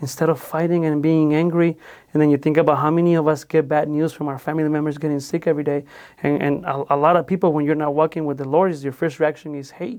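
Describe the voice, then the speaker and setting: Against a quiet background, a man with a fairly high pitch speaks at a very fast pace in a Spanish accent, his intonation monotone and flat. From Mexico. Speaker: podcast host. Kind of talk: casual faith-based interview conversation.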